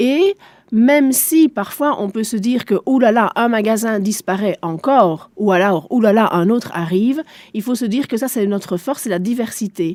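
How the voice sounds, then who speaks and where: A woman's fairly high voice with a German accent, at a moderate pace with lively intonation, in a very clean recording with a silent background and a dry, close sound with no echo. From Belgium, Spa area (German-speaking east). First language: German (speaking French). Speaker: shopping centre director. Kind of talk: radio interview.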